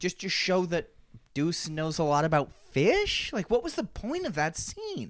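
A man speaks at a fairly slow pace with a high pitch. His tone is animated, and his intonation is lively. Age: 30s. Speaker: podcast co-host. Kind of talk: casual chat.

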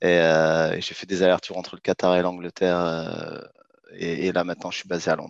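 With a very deep, low pitch, a man speaks in a monotone, flat intonation at a moderate pace, with big swings in loudness over a quiet background. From France, Clermont-Ferrand (Auvergne), arrived from Morocco aged two. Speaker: startup founder in finance. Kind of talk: interview. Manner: halting, many hesitations and repetitions.

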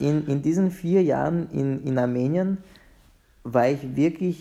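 Very slow male speech with a dark, mellow tone and ordinary pitch variation. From Vienna, Austria. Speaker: conductor and violinist. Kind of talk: interview. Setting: video call from home. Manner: halting, many repetitions.

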